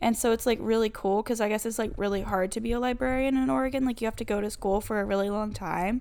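A woman talks at a very fast pace. Her fairly high voice has ordinary pitch variation. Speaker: book podcast co-host. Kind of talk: casual chat. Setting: video call. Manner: loud.

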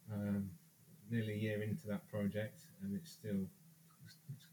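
A man's fairly low, somewhat breathy voice with a dark, mellow tone and an English accent. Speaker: reproduction business co-founder. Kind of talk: casual chat.

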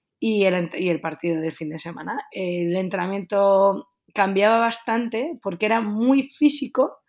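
A normal speaking voice from a woman, medium in pitch with lively intonation, fairly slow yet with hardly any pauses, in a very clean recording with a silent background. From Basque Country, Getxo. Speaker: retired field hockey player. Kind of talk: interview.

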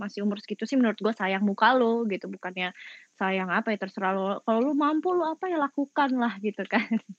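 In a West Javanese accent, a woman with a fairly high pitch talks at a very fast pace, the sound dry and close with no echo. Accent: Sundanese-inflected Indonesian. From West Java (Sundanese region), Indonesia. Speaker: podcast guest, former entertainer and gamer. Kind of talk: casual chat. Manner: talkative, lively.

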